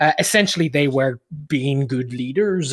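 The dry, close sound with no echo carries a man with a fairly high voice and an Irish accent talking at a moderate pace. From Ireland. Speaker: leadership coach and author. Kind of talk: interview.

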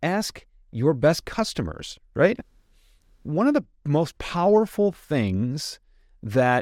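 With an American accent, a man talks in very wide pitch swings on a very clean recording with a silent background and a dry, close sound with no echo. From US Midwest, suburb of Detroit. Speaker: sales consultant and speaker. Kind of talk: interview conversation.

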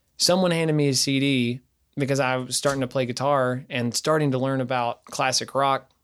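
The recording is very clean, with a silent background. A man speaks in a flat, monotone way with an East Tennessee accent. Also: medium pitch for a man, fairly quick pace. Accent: Southern US (East Tennessee). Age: 20s. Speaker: singer-songwriter and bass player. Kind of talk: casual interview chat.

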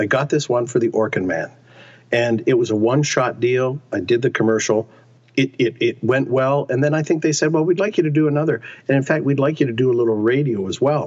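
At a fairly quick pace, a man with a normal speaking voice talks at a medium pitch, with ordinary pitch variation and very even loudness. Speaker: actor. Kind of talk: interview.

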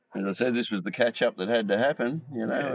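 A man's medium-pitched voice in an Australian accent, with ordinary pitch variation. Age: 50s. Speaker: podcast host. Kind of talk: casual chat. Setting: studio.

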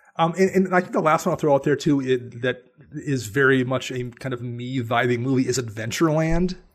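A man uses a normal speaking voice, medium in pitch with ordinary pitch variation, and moves along at a fairly quick pace. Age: 40s. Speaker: podcaster and writer. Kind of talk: casual chat.

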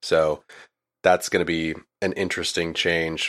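Very deep and low in pitch, a man speaks with monotone, flat intonation. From Maine. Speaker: podcast host and editor. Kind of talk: casual chat.

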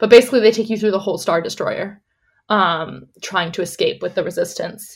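A woman with a plain, everyday voice and fairly high pitch speaks at a fairly quick pace in a very clean recording with a silent background. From Canada. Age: 20s. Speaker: podcast guest, lifelong theme park fan. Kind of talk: casual chat.

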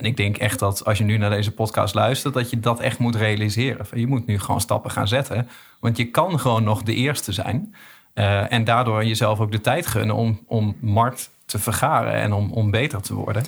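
Somewhat breathy male speech at medium pitch and moderate pace, with fairly even intonation and very even loudness. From East Groningen, Netherlands. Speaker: podcast host. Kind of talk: casual chat. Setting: studio.

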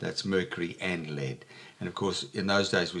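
With an Australian accent, a man is speaking. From Western Australia. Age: 70s. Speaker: writer and comedian. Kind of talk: casual interview. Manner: witty storyteller.

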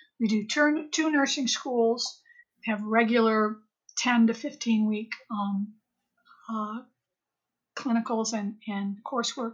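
Breathing somewhat breathily, a woman with a fairly high pitch and ordinary pitch variation speaks at a very slow pace with long, frequent pauses. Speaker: retired public health administrator. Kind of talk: interview.

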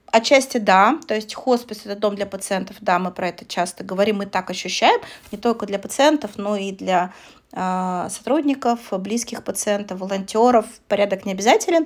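Female speech in an ordinary speaking voice, pitched in the middle range, with ordinary pitch variation and moderate pacing. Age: 30s. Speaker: podcast co-host, hospice coordinator. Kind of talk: casual chat.

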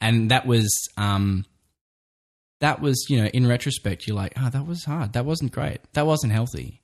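A man with an Australian accent, medium in pitch, moderate in pace, with ordinary pitch variation and a quiet background. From Australia, Brisbane. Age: 30s. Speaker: podcast host and photographer. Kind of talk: casual chat.

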